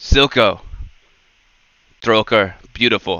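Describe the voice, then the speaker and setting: A man puts on a booming character voice. His pitch sits in the medium range. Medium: actual play. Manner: imperious.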